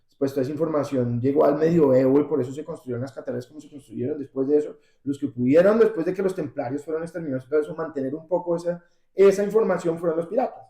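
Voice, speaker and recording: Speaking at a very fast pace, a man uses a fairly high pitch and a dark, mellow tone, with ordinary pitch variation and big swings in loudness. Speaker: rock singer. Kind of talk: interview.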